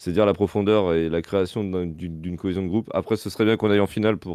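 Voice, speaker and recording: A man with a fairly low pitch talks at a fairly quick pace. The sound is dry with no echo, and the background is quiet. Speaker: co-commentator. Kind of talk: live commentary and casual chat about a match. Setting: live stream. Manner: casual, relaxed. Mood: thoughtful, warm.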